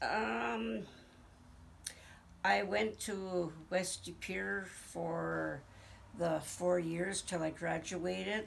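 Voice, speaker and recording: Very slow speech in an American accent, with vocal fry, very wide pitch swings, long, frequent pauses and audible room echo. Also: woman, fairly low pitch for a woman. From Green Bay, Wisconsin. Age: 70s. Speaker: interviewee, family elder. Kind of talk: oral history interview. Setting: at her home.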